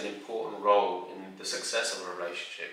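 A man talks at a fairly quick pace, and room echo is audible. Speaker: relationship advice creator. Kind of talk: advice talk to camera. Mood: calm, warm, earnest. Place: home room.

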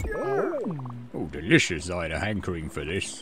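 A low-pitched, put-on character voice comes through over loud background noise. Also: moderate pace. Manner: delighted, relishing.

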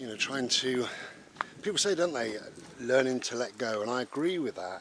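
A man speaks with ordinary pitch variation in a dry sound with no echo, over noticeable background noise. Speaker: vlogger. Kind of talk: casual reflective vlog chat. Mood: calm, contemplative. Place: open country. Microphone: phone near.

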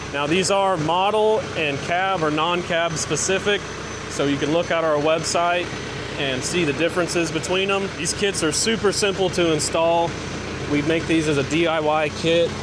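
Noticeable background noise sits under a man who talks at a moderate pace. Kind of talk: tutorial. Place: workshop. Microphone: phone near.

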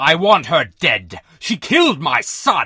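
A man's put-on character voice, fairly high-pitched, bright and sharp with a slightly husky edge, at a slow pace with very wide pitch swings. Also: very clean recording, silent background.

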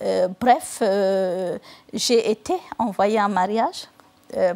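Her pitch varies in an ordinary way as a woman talks at a very slow pace. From Northern Cameroon. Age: 40s. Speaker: novelist. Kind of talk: TV interview answer. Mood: calm, earnest. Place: studio. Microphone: lapel.

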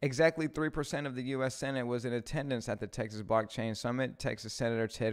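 Over a quiet background, this man's pitch varies in an ordinary way. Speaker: live stream host. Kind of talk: news commentary, reading articles. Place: studio. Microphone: studio mic.

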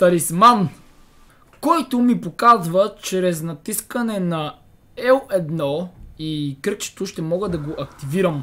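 A man speaks very slowly in a high voice with a bright, sharp tone. His intonation is lively. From Bulgaria. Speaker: gaming YouTuber. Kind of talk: let's play commentary. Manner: animated.

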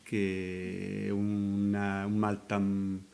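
Here a man talks with a fairly low pitch. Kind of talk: press conference statement. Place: meeting room.

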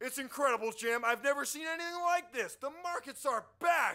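A man puts on a character voice, extremely high in pitch, with a bright, sharp tone. His intonation is lively and his pace fairly quick.

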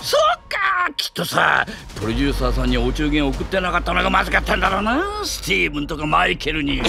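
A man shouts in a put-on character voice at a fairly quick pace. Clear music plays in the background. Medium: dub. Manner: loud, brash, ad-libbed comedic.

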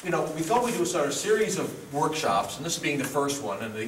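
A man talks at a fairly quick pace with very wide pitch swings. Light background noise and audible room echo are present. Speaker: workshop host. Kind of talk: introductory remarks to an audience. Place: hall. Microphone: camera far.

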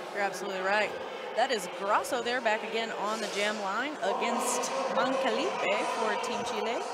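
A moderate pace in an American accent, with loud background noise and a dry sound with no echo. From US South, Arkansas. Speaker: sports commentator. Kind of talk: live commentary. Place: hall.

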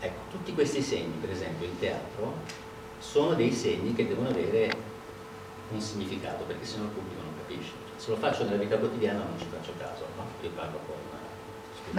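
A man speaks fairly quickly amid noticeable background noise and audible room echo. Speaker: speaker. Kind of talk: lecture. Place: meeting room. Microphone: camera far.

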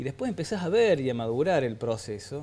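The voice belongs to a man. He talks at a fairly quick clip. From Argentina, Córdoba. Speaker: former priest. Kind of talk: TV interview. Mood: calm, reflective. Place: studio. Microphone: lapel.

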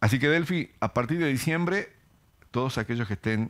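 A man's speech has lively intonation and moves at a moderate pace. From Argentina, Tucumán; Argentina. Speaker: regional manager of a health insurance company. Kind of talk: TV interview, promotional. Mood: friendly, upbeat promotional. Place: studio. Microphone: headset.

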